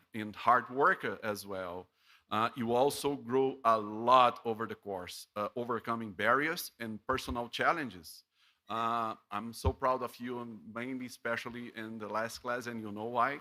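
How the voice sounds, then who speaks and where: A man with a Portuguese accent speaks in a bright, sharp tone with ordinary pitch variation. His loudness swings widely, and the recording is very clean with a silent background. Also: medium pitch for a man, fairly slow pace. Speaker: professor. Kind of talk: graduation speech. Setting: ceremony broadcast from studio. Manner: halting, many fillers.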